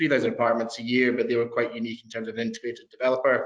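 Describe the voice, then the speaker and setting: The voice carries a Scottish accent. Its intonation is monotone and flat. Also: man. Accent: Scottish, still noticeable. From Scotland. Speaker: proptech company founder. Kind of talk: interview.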